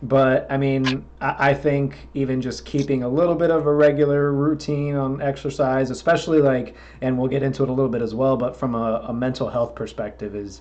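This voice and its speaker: A man with an American accent talks at a fairly quick pace, with hardly any pauses. He has a plain, everyday voice. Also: medium pitch for a man, fairly even intonation. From Florida. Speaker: podcast host and metal musician. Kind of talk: casual interview chat.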